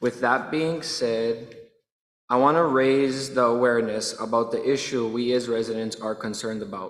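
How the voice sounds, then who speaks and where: A man talks with a medium pitch and fairly even intonation at a fairly slow pace. Audible room echo surrounds his voice. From Hawaii. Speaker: public testifier, tenant. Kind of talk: public testimony.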